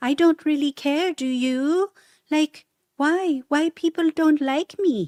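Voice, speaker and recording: A put-on character voice, female-sounding and high-pitched, carries the lines. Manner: whiny, aggrieved, hesitant.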